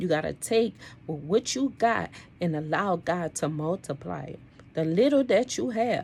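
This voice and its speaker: A woman with vocal fry talks at a moderate pace and fairly low pitch, her pitch swinging very widely. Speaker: motivational vlogger. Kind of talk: motivational monologue. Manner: animated.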